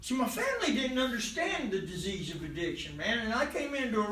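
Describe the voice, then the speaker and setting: An American accent at a moderate pace, with audible room echo. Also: man. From Oklahoma. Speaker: recovery speaker, former prisoner. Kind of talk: recovery meeting share. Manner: casual, halting with many fillers.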